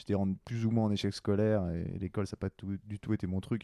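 At a very fast pace, a man speaks with a very deep, low pitch and a dark, mellow tone in a monotone, flat intonation. The sound is dry and close with no echo, against a quiet background. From Quebec (Montreal). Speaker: podcast host. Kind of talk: casual chat.

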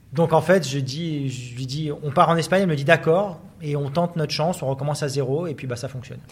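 A man talks at a fairly quick pace with hardly any pauses. His pitch is fairly high, his intonation fairly even, and his voice somewhat breathy. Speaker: sports journalist. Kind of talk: interview. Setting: business club office premises.

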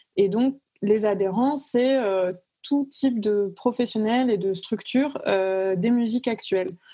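Very slow and very even in loudness, a woman's fairly high, somewhat breathy voice carries a dark, mellow tone with ordinary pitch variation. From southern France, Cavaillon near Avignon. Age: 20s. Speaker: music industry professional. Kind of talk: casual interview.

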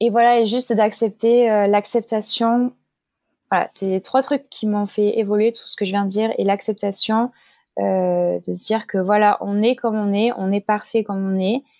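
A woman with a fairly high pitch speaks fairly slowly in a monotone, flat intonation. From Marseille, southern France. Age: 20s. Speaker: cabaret dancer. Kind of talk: interview conversation. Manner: hesitant, many fillers.

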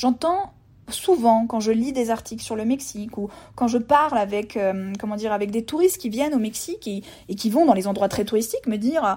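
A woman's fairly high-pitched voice at a fairly quick pace, with ordinary pitch variation. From France, Burgundy (Montbard). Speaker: travel podcaster. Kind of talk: solo podcast monologue. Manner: hesitant, many repetitions and fillers.

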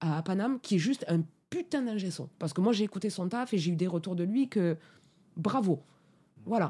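A woman with a medium-pitched, somewhat breathy voice and a dark, mellow tone speaks at a moderate pace with lively intonation and long, frequent pauses. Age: 30s. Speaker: sound engineer. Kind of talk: interview. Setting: studio.

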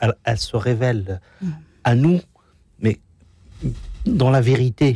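A man speaks at a medium pitch with a dark, mellow tone and a somewhat breathy edge, his pitch moving in an ordinary way. He leaves long, frequent pauses, and the sound is dry and close with no echo. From Algeria, Kabylie. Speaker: association ambassador, former youth in distress. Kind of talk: testimony. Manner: halting.

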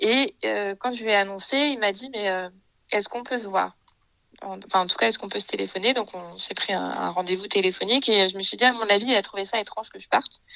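Speaking at a fairly quick pace, a woman uses a medium pitch with ordinary variation, a bright, sharp tone, vocal fry and big swings in loudness. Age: 20s. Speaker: early childhood educator. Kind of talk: interview. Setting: remote recording. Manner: hesitant with many fillers.

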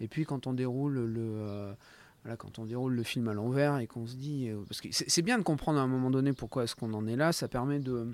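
Recorded very cleanly with a silent background, a man in a normal speaking voice talks at a fairly quick pace with medium pitch and fairly even intonation. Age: 50s. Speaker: motion designer and image artisan. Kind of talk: interview.

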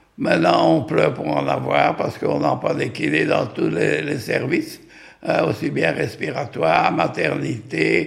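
A man talks very slowly, with noticeable background noise behind him. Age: 90s. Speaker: retired physiotherapist. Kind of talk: personal testimony. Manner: halting, with many hesitations.

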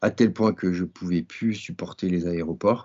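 Very slow and very deep, this man's low-pitched voice has ordinary pitch variation. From French Alps, Grenoble. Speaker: mountain guide and adventurer. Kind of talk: interview. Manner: halting.

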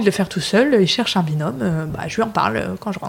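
Noticeable background noise surrounds the recording. A woman speaks at a fairly quick pace with lively intonation. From northern France, Lille. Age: 30s. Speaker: restaurant founder. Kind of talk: interview conversation. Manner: hesitant with many fillers.

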